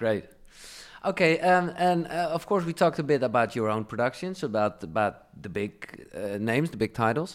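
The man talks at a moderate pace and medium pitch, his pitch swinging very widely. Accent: Dutch. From Netherlands. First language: Dutch. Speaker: radio DJ and podcast host. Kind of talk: interview.

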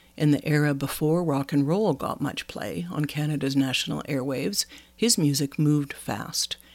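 The recording is very clean and the background silent. Delivery proceeds at a moderate pace. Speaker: podcast host. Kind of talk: scripted narration.

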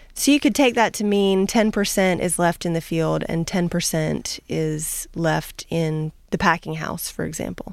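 A woman with an American accent and a plain, everyday voice, fairly low in pitch, with ordinary pitch variation, hardly any pauses, and a very clean recording over a silent background. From US Southeast. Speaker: agricultural researcher. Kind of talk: radio interview. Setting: radio studio.

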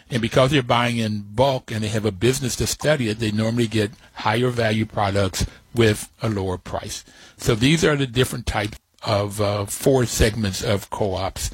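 A somewhat breathy man with fairly even intonation. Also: medium pitch for a man, moderate pace. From West Virginia, Appalachia. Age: 70s. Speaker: radio host. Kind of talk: interview.

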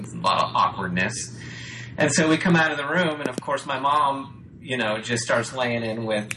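This man's intonation is lively. Noticeable background noise runs under his speech. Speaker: music producer friend. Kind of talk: casual chat.

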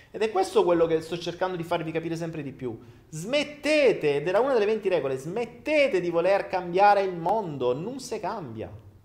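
Noticeable background noise surrounds a man's voice. His pitch is high and swings very widely. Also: fairly quick pace. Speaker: livestream host. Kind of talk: casual livestream monologue. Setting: live video stream.

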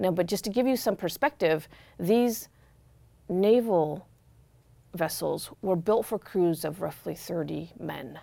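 With vocal fry and a dark, mellow tone, a woman speaks fairly slowly at a medium pitch in an American accent, her intonation lively. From Corvallis, Oregon, US. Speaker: journalist and memoir writer. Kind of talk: interview. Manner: halting.

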